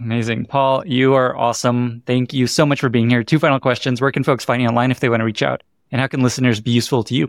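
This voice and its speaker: A man's very fast, medium-pitched speech with hardly any pauses, very even loudness and fairly even intonation, in a very clean recording with a silent background. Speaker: podcast host. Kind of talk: interview conversation. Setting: hotel room.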